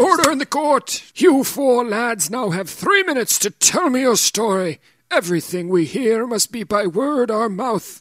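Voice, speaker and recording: A man performs a put-on character voice at an extremely high pitch, with very wide pitch swings. He keeps a moderate pace with hardly any pauses, and the sound is dry and close with no echo. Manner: commanding.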